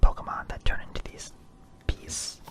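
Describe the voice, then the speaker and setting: Amid noticeable background noise, a moderately paced whisper is heard. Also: man. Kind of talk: casual talk to camera. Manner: whispered.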